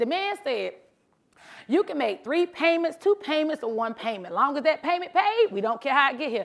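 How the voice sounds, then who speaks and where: Loud and animated, a woman talks at a fairly quick pace with very wide pitch swings. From US South, South Carolina. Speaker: motivational speaker, truck driver. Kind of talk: motivational talk. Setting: stage with audience.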